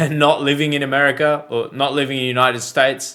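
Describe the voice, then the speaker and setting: A man with an Australian accent speaks at a moderate pace in a bright, sharp tone. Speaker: reaction video creator. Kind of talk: reaction commentary.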